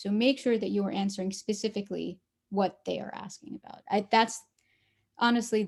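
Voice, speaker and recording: A woman uses a normal speaking voice at a fairly high pitch. She talks at a fairly quick pace with fairly even intonation. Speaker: student panelist. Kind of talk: panel discussion.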